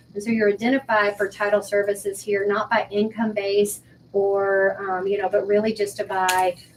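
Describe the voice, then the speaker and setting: A woman with a plain, everyday voice, medium pitch and a moderate pace. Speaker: school principal. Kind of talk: school meeting report.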